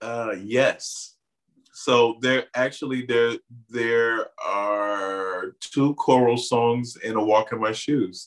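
The intonation stays fairly even. The pace is very slow. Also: man, medium pitch for a man. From Miami, Florida. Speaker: playwright, filmmaker and community organizer. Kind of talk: casual interview.

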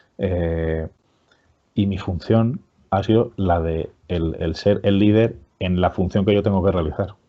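Fairly even intonation at a fairly slow pace. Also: man. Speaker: HR director and business school teacher. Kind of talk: interview.

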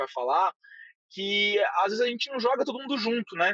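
A man's very fast speech in a strong São Paulo accent. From São Paulo, Brazil. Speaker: head of growth at a company. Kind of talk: casual interview.

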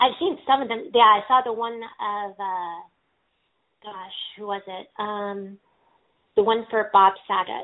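A woman with an American accent, a fairly high pitch, ordinary pitch variation, big swings in loudness, a very slow pace and long, frequent pauses. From California. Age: 20s. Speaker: podcast host, person in recovery. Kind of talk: casual interview chat.

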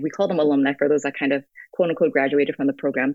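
A woman talks with an American accent. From US (West Virginia, North Carolina, New York). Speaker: nonprofit city director. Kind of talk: interview. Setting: call over messaging app.

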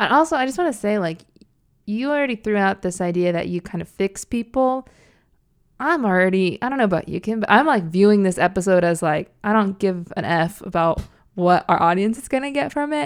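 In a very clean recording with a silent background, a woman with a medium pitch and an ordinary speaking voice talks at a fairly quick pace with lively intonation. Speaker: podcast co-host. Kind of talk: comedic casual banter, satirical podcast.

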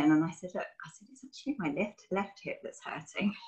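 A woman speaks at a fairly quick pace with lively intonation. Her voice is somewhat breathy. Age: 40s. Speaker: personal trainer and yoga instructor. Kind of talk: interview.

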